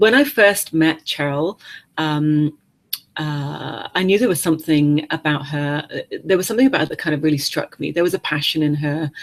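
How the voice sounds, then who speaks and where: A woman talks at a moderate pace in a very deep, low-pitched voice. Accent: English. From England. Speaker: webinar host, coaching company founder. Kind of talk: webinar interview. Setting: online webinar. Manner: halting, many fillers.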